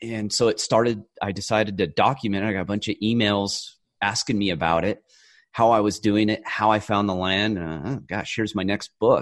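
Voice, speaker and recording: An unremarkable speaking voice with an American accent, fairly quick and fairly even in intonation. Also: man, fairly low pitch for a man. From rural California. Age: 40s. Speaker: author and former federal agent. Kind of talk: interview.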